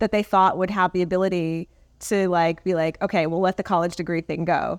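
A woman with a plain, everyday voice speaks at a medium pitch and a fairly quick pace. The recording is very clean, with a silent background and a dry, close sound with no echo. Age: 40s. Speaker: portrait and branding photographer. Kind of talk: interview.

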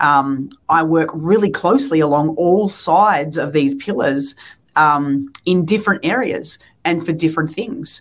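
A woman with an Australian accent and a very deep, low pitch speaks at a fairly slow pace with lively intonation. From Australia, Melbourne. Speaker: pastor. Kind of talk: interview.

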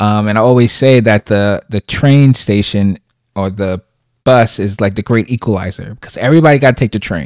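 Here is a plain, everyday voice: a man at fairly low pitch, with ordinary pitch variation and a moderate pace. The sound is dry and close with no echo, in a very clean recording with a silent background. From Brooklyn, New York. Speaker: podcaster. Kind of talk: casual interview chat.

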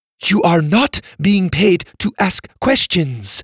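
A man's put-on character voice, high in pitch, at a very slow pace. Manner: commanding, mock-threatening.

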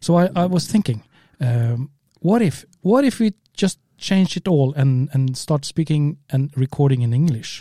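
A man with a Norwegian accent speaks fairly slowly at a fairly high pitch, his somewhat breathy voice dark and mellow, his intonation lively, and the sound dry and close with no echo. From Norway. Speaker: spearfisher podcast co-host. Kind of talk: casual chat. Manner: halting.

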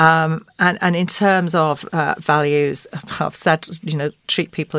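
A woman speaks at a very deep, low pitch. Her intonation is flat and monotone. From grew up near Oldham, Greater Manchester. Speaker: podcast guest, commercial litigator and law firm partner. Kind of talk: informal interview talk. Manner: warm, conversational, chatty.

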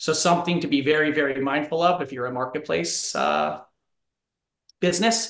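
Fairly high for a man, his pitch shows ordinary variation and some vocal fry. He keeps a moderate pace broken by long, frequent pauses. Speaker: corporate partnerships executive. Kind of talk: interview.

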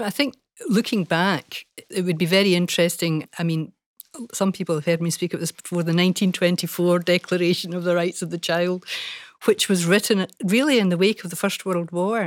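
In a normal speaking voice, a woman talks at a fairly quick pace with fairly even intonation and a fairly low pitch. The recording is very clean with a silent background and a dry, close sound with no echo. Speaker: former children's commissioner and professor. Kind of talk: panel conversation.

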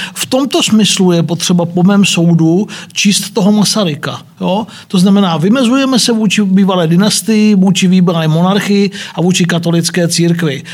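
A man talks at a moderate pace. His pitch is high and varies in an ordinary way. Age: 50s. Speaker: historian professor. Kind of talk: discussion. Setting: studio.

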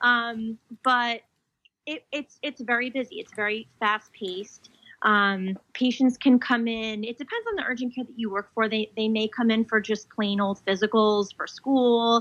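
A woman with an American accent, an ordinary speaking voice, fairly high pitch, fairly even intonation and moderate pace, in a dry, close sound with no echo. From New Jersey. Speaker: physician assistant and PA faculty. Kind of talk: interview.

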